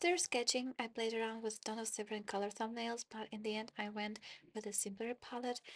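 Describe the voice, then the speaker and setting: A woman's fairly high voice with a non-native accent, dry and close with no echo. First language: not English. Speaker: digital illustrator. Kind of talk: tutorial narration.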